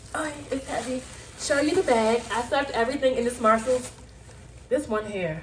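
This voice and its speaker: A woman with a high-pitched voice speaks in an animated tone, leaving long, frequent pauses. Noticeable background noise runs behind her. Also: ordinary pitch variation, moderate pace. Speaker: lifestyle vlogger. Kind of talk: shopping haul video. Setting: home, sitting on the floor.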